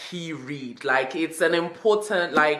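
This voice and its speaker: A woman with a British accent speaks with fairly even intonation. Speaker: book vlogger. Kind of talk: casual video monologue. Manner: fast.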